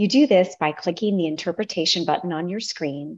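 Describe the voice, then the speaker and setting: Female speech at a moderate pace, fairly low in pitch. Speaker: meeting facilitator. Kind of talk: formal meeting announcement. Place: home room. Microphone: video call.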